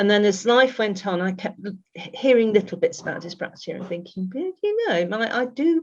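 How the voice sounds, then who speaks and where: At a fairly quick pace, a woman speaks in a somewhat breathy voice of medium pitch with lively intonation. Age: 60s. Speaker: neurodivergent coach. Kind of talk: podcast interview. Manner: halting, frequent restarts.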